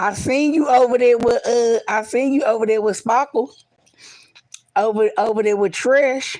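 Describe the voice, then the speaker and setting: A high-pitched woman at a moderate pace, her loudness very even and her pitch variation ordinary. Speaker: live streamer. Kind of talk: casual live stream chat. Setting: livestream, lying down.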